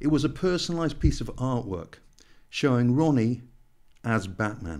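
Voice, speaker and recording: Against a quiet background, a man speaks at a moderate pace with lively intonation and a dark, mellow tone. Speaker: podcast host. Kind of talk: podcast introduction. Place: home room. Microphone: studio mic.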